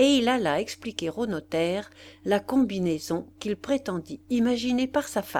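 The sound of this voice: Lively intonation shapes the lines in an unforced reading voice.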